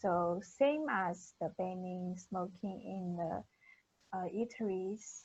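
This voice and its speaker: At a very slow pace, a woman speaks at a medium pitch in a somewhat breathy voice. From China. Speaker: university student. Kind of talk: class group discussion.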